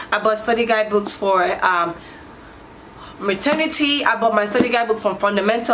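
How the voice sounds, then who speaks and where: Over noticeable background noise, a woman talks at a moderate pace and a fairly high pitch. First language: not English. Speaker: nurse and motivational vlogger. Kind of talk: casual vlog advice. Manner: halting, many restarts.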